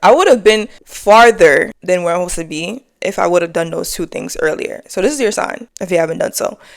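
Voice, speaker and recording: With an American accent, a woman keeps to a moderate pace. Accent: New York accent, faint, comes out at times. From New York City (the Bronx). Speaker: lifestyle and faith vlogger. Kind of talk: casual to-camera talk. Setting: sitting on couch at home. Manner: chill, relaxed.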